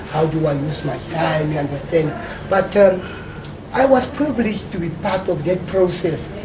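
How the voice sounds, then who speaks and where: A man's high voice, with ordinary pitch variation, moves at a moderate pace through audible room echo and noticeable background noise. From South Africa, Soweto. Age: 50s. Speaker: community worker and local researcher. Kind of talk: interview. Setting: hotel.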